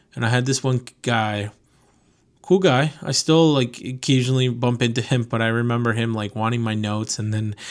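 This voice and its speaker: A man's medium-pitched, plain, everyday voice at a moderate pace, on a very clean recording with a silent background. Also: ordinary pitch variation. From Connecticut, US (from age 7, born in Venezuela). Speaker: podcast host, car import business owner. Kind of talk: casual monologue. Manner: casual, many fillers.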